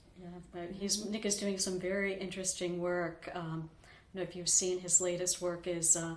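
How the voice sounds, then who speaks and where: Her voice sits at medium pitch, monotone and flat, at a moderate pace. Loudness swings widely, and background noise is noticeable. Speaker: oral history interviewer. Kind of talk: interview questions.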